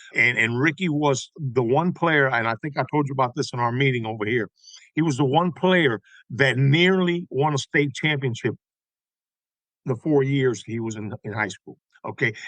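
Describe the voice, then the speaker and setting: Speaking with an American accent, a man has a plain, everyday voice at a medium pitch with ordinary pitch variation. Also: moderate pace. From Tampa, Florida (West Tampa). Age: 60s. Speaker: songwriter and baseball historian. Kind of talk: casual interview chat.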